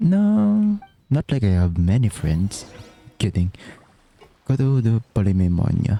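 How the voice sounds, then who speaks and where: A man with a Filipino accent speaks at a fairly slow pace with long, frequent pauses, a medium pitch and lively intonation. His loudness stays very even, with a dry, close sound with no echo and music in the background. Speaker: gaming streamer. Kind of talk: casual gameplay commentary.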